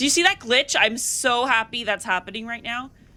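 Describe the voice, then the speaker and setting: Noticeable background noise surrounds a woman with an American accent. She talks at a medium pitch and a moderate pace. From Oregon, US. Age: 20s. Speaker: gaming streamer. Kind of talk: casual chat while gaming. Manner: casual, rambling with fillers.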